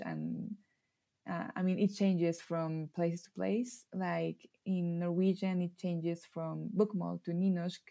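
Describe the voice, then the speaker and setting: A woman with a Mexican accent speaks in a dark, mellow tone. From Mexico. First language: Spanish. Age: 20s. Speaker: illustrator and language learner. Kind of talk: casual interview. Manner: laughs often, informal, many fillers.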